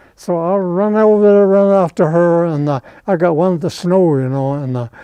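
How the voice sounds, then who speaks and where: This man's voice sits high for a man, with a dark, mellow tone and ordinary pitch variation. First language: Navajo. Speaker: war veteran. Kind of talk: interview storytelling. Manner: halting.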